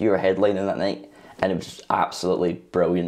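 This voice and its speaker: Very deep, low male voice with vocal fry at a fairly quick pace, over light background noise. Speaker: interviewer, channel host. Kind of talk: interview questions. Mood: warm, complimentary. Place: studio.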